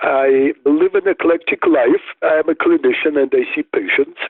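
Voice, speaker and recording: This is a man speaking. He has a Russian accent. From Soviet Union (Riga, Moscow). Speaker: neuropsychologist and author. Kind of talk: interview.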